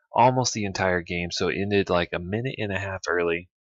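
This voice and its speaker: A soft-spoken man talks at a fairly low pitch. His intonation is fairly even. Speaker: gaming youtuber. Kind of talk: gameplay commentary. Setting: home recording.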